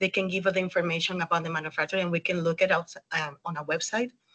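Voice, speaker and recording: A woman speaks with a Spanish accent at a fairly quick pace. Her pitch varies in an ordinary way, and the sound is dry and close with no echo. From Dominican Republic. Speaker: 3D rendering specialist. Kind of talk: webinar interview. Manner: hesitant with fillers.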